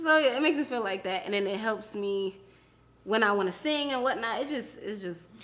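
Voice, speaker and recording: Fairly quick and lively in intonation, a woman speaks in a New York accent at a fairly high pitch. Background noise is noticeable. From New York area. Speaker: podcast co-host. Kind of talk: casual chat. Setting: studio.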